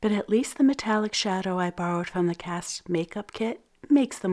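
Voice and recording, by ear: Reading aloud in a natural voice, pitch shifting by ordinary amounts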